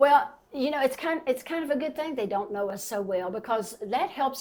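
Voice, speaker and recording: A woman speaks with a Southern Appalachian accent. Her pace is moderate and her intonation lively. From southern West Virginia. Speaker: local historian and community preservationist. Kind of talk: podcast interview. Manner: animated.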